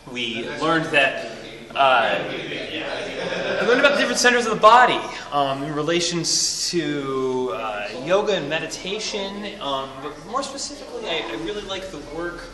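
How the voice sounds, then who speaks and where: Noticeable background noise sits behind a man speaking at a high pitch. His pace is moderate and his loudness swings widely. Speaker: interviewee. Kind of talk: interview answer. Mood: friendly, slightly hesitant. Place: shop. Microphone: phone near.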